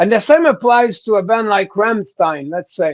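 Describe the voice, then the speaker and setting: With a strong French Canadian accent, a man with a high pitch speaks with lively intonation over a quiet background. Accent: thick French-Canadian. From Quebec, Canada. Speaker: rock singer. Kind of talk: interview. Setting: live stream. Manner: halting, repeats words.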